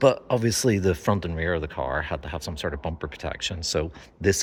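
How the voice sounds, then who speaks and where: A man with a very deep, low pitch, vocal fry and ordinary pitch variation talks at a fairly quick pace on a very clean recording with a silent background. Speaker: car video host. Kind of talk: casual presenting to camera. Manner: hesitant with fillers.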